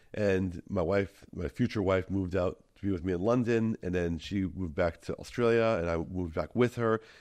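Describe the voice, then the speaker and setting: A man with an American accent and a very deep, low pitch talks at a moderate pace with hardly any pauses and ordinary pitch variation against a quiet background. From Minnesota, US. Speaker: tour guide and content creator. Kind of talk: podcast interview. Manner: hesitant with fillers.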